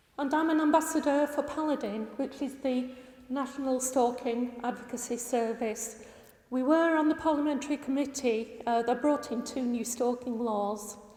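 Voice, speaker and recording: A woman's high-pitched voice at a moderate pace, fairly even in intonation, over noticeable background noise. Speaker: campaigner. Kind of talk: presentation. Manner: passionate.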